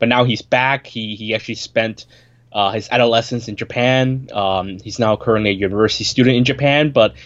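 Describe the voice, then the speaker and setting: Over a quiet background, a man with a plain, everyday voice and medium pitch talks at a fairly quick pace with fairly even intonation. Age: 30s. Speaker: film podcast co-host. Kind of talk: casual chat. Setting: remote call.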